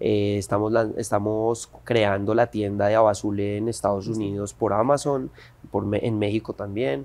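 A man uses a plain, everyday voice, fairly low in pitch, at a moderate pace with fairly even intonation. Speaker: actor and entrepreneur. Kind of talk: interview.

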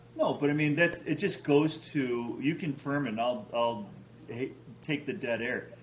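In an American accent, a man with a plain, everyday voice talks at a fairly slow pace, his fairly high pitch showing ordinary variation over light background noise. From Chicago. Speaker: fantasy football podcast host. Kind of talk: casual chat. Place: home room.

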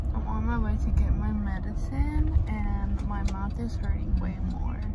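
A woman speaks over loud background noise. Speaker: vlogger. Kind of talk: casual vlog chat. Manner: slurred, numb-mouthed speech through pain. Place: car. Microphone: phone near.

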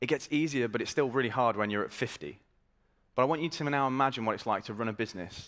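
Talking at a very fast pace, a man sounds energetic and confident, with lively intonation. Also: quiet background. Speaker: startup marketing executive. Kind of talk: startup pitch presentation. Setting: stage with audience. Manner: energetic, confident. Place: stage.

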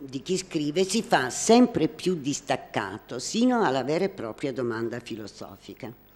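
A woman speaks fairly slowly in a very deep, low voice with very wide pitch swings. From Naples, southern Italy; southern Italy. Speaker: art critic; presenter. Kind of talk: prepared talk, partly read aloud. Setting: hall with live audience. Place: hall.

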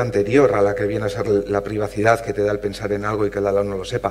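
A man's plain, everyday voice, fairly low in pitch, at a moderate pace. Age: 40s. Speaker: physicist and panel moderator; panel moderator. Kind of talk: panel moderation. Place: hall.

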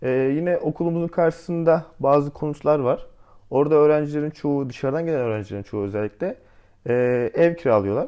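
In a plain, everyday voice, a man talks fairly quickly at a fairly high pitch with ordinary pitch variation. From Antalya, Turkey. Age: 20s. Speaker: architecture student. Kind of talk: casual interview.

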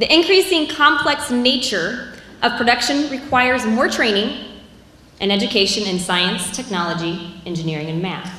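A loud woman with a fairly high voice speaks at a moderate pace, her pitch swinging very widely, with audible room echo. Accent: American. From US Midwest. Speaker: agriculture professor. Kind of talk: presentation. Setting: stage with audience. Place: hall. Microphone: handheld.

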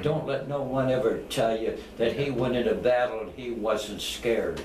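A man talks at a moderate pace over light background noise. Room echo is audible. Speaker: war veteran. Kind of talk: interview answer. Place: home room. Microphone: camera far.

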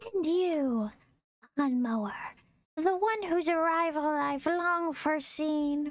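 A put-on character voice at a high pitch, fairly slow, with long, frequent pauses. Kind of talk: voice-actor delivery. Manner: dramatic, theatrical.

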